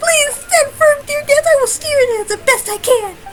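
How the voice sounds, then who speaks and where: A woman puts on a squeaky character voice, talking at a moderate pace. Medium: fan dub. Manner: formal, flowery, melancholy.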